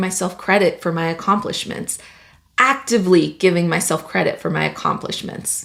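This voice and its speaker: Medium-range pitch from a woman, in a Spanish accent. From Latin America, grew up undocumented in the US. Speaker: engineer and project manager, career vlogger. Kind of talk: personal vlog monologue.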